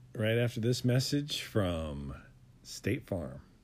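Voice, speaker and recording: A man is speaking. His pitch swings very widely. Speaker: podcast co-host. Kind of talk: casual chat; pitchman parody.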